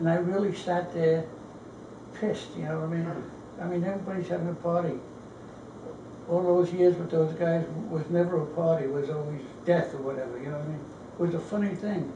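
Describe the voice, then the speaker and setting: The speaker talks at a fairly quick pace with fairly even intonation, broken by long, frequent pauses. There is noticeable background noise. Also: man, high pitch for a man. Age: 80s+. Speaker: World War II Marine veteran. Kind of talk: interview conversation. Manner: casual, candid.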